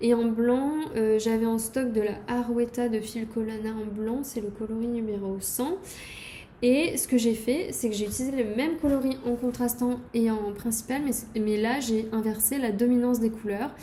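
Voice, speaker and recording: Amid audible room echo, a woman with a fairly high pitch speaks at a fairly slow pace with fairly even intonation. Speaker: knitting podcaster. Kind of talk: casual show-and-tell video podcast. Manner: hesitant, many fillers.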